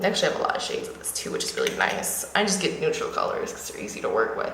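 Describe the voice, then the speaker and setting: Audible room echo and noticeable background noise around a woman's voice. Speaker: beauty vlogger. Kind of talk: makeup tutorial. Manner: fast; casual, with fillers.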